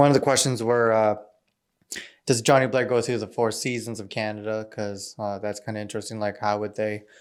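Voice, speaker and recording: A man speaks fairly quickly in a fairly low pitch, his intonation monotone and flat. The recording is very clean, with a silent background. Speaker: aspiring novelist / vlogger. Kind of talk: casual vlog monologue. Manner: loud; hesitant, many fillers.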